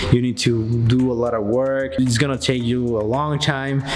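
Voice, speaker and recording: There is noticeable background noise. A man's voice comes through over it. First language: not English. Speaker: YouTube vlogger. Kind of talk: casual talk to camera. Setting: outdoors.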